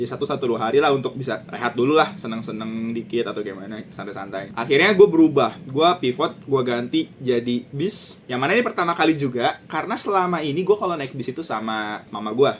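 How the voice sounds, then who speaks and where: Over noticeable background noise, a man at medium pitch rushes along at a very fast pace with lively intonation and hardly any pauses. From Jakarta, Indonesia. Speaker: vlogger. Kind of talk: vlog narration. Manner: casual, with English code-switching.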